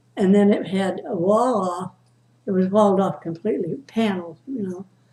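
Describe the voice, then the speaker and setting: A woman with a dark, mellow, somewhat breathy tone talks at a moderate pace and medium pitch, with ordinary pitch variation. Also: long, frequent pauses. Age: 80s+. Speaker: storyteller. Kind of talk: family storytelling, casual conversation.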